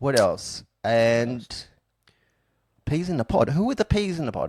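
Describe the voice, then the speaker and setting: A man's fairly high voice at a fairly slow pace, with very wide pitch swings and a dry, close sound with no echo. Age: 40s. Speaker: podcast host. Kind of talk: casual chat. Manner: mumbling.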